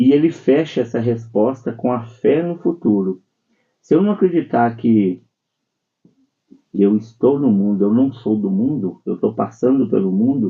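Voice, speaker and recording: A man of medium pitch speaks at a fairly slow pace with lively intonation and long, frequent pauses. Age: 60s. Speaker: spiritist speaker. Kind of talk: religious radio talk.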